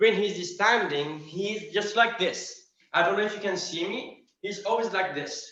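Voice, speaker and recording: At a fairly slow pace, a man speaks with a raised, projected voice and a high pitch. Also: ordinary pitch variation. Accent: non-native. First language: not English. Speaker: practitioner student. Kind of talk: question in online class. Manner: halting.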